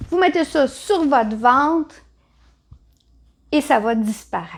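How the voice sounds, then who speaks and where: A woman in a Quebec accent, with lively intonation. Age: 60s. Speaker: natural health seller. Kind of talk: tutorial. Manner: animated.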